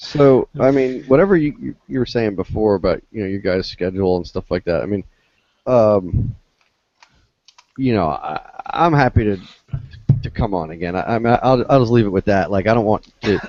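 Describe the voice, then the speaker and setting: There are long, frequent pauses from this man. His fairly low voice has lively intonation. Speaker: podcast guest. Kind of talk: casual chat. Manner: fast.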